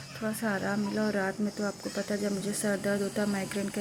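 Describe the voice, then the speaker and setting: A woman speaks in a flat monotone at a medium pitch, with audible room echo and noticeable background noise. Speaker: vlogger. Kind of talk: casual vlog talk. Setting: at home.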